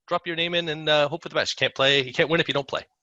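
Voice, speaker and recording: A man's bright, sharp voice with a Canadian accent, in a dry, close sound with no echo and a quiet background. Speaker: sales engineer. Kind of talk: conference talk. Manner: hesitant, many fillers.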